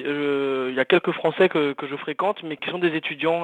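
A man with a plain, everyday voice, fairly even intonation and a moderate pace. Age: 20s. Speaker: journalist. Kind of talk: casual testimony.

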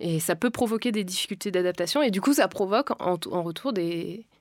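In an unremarkable speaking voice, a woman talks at a fairly quick pace with lively intonation. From France. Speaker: podcast co-host. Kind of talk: personal testimony.

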